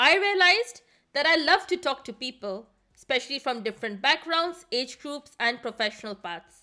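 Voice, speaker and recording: Her voice is raised and projected, high in pitch, with a bright, sharp tone and very wide pitch swings. The woman keeps a moderate pace on a very clean recording with a silent background. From India. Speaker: podcast host, management consultant. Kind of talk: scripted monologue.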